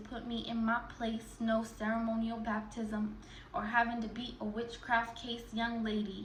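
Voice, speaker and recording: Noticeable background noise sits behind a woman speaking at a moderate pace with a fairly high pitch. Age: 20s. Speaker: spoken word artist. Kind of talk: performance poetry.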